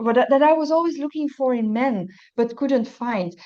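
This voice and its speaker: A woman speaks with a Dutch accent. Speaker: recovery testimony speaker. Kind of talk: testimony. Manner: halting.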